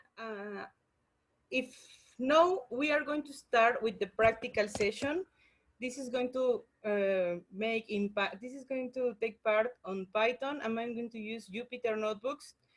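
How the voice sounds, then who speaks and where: A woman with a non-native accent speaks at a fairly slow pace in a fairly high voice, with ordinary pitch variation, big swings in loudness, and long, frequent pauses. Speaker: workshop teacher, scientist. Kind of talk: online lecture tutorial. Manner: halting, many fillers and restarts.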